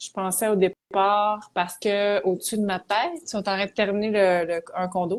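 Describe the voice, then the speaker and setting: With a Quebec accent, a woman speaks at a medium pitch and a moderate pace, her intonation fairly even and hardly any pauses between words. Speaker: psychologist. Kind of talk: interview.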